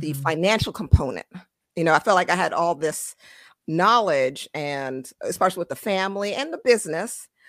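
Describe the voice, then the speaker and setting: This woman talks at a moderate pace with a slight Caribbean accent. Her intonation is lively. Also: fairly low pitch for a woman. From born in Trinidad, raised in US. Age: 40s. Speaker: financial advisor. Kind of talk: casual interview chat. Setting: video call.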